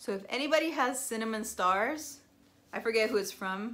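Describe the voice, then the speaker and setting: Lively intonation colours this woman's fairly high voice. She speaks at a fairly slow pace in a bright, sharp tone. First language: Spanish. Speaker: cross-stitch video blogger. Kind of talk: casual show-and-tell vlog. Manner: chatty, many fillers.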